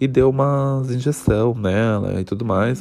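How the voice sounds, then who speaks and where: A man talks in a medium pitch with fairly even intonation and an unremarkable speaking voice. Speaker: student podcast host. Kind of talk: personal storytelling.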